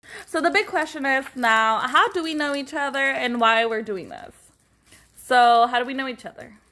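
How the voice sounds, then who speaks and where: A woman speaks in a high, raised and projected voice with a bright, sharp tone. Her intonation is lively and animated at a moderate pace. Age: 20s. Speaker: podcast co-host. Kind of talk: casual chat.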